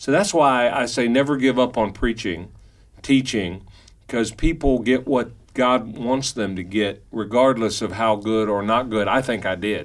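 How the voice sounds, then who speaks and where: A man's medium-pitched voice with a Kentucky accent, fairly slow pace and ordinary pitch variation. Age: 50s. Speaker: pastor and radio host. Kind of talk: casual radio talk show chat. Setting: radio studio.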